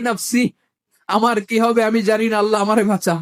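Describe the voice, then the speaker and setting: This man's voice sits at an extremely high pitch, with fairly even intonation. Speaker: Islamic preacher. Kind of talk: religious sermon.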